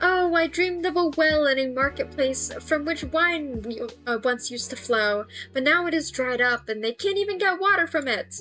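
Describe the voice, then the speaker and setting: Moderate pace in a put-on character voice over clear background music. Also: woman, high pitch for a woman. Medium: read story.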